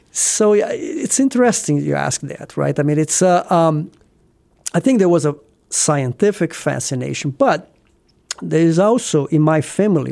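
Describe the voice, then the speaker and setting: With a Brazilian accent, a man talks at a moderate pace. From southeast Brazil. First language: Portuguese. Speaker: cancer physician. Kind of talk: interview.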